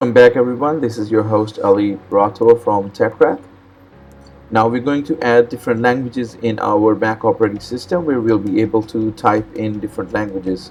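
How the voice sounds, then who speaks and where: Speaking at a fairly quick pace, a man with a Pakistani accent has a medium pitch and ordinary pitch variation. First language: Urdu. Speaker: tech tutorial host. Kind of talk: tutorial.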